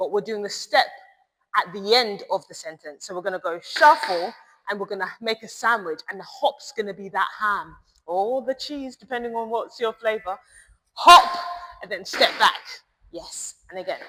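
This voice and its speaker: Lively in intonation, a woman speaks at a moderate pace with a fairly high pitch. Her loudness swings widely. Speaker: tap dance teacher. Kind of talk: tutorial. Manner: rhythmic counting.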